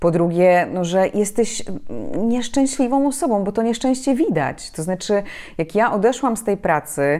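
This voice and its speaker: Against a quiet background, a woman speaks at a moderate pace in a medium pitch with a dark, mellow tone. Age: 30s. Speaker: journalist and public speaking trainer; journalist, public speaking trainer. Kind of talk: interview. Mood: reflective, calm. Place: home room. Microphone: lapel.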